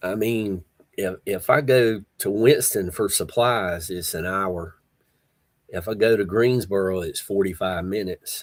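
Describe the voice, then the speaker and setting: With a Southern US accent, a man speaks fairly slowly in a relaxed tone, his pitch fairly low with ordinary variation. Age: 60s. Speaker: livestream host. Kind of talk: casual chat. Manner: relaxed, halting with fillers.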